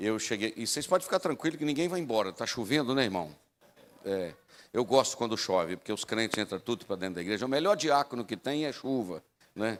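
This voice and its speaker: Speaking at a fairly quick pace and a medium pitch, a man makes very wide pitch swings. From Brazil, rural area. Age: 60s. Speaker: pastor. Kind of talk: sermon. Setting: church.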